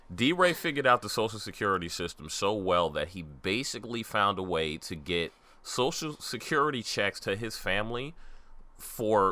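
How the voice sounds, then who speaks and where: A man with a slight Southern US accent speaks at a moderate pace in a fairly low pitch, his bright, sharp tone rising and falling in very wide swings. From New York. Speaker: podcast co-host. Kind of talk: casual chat.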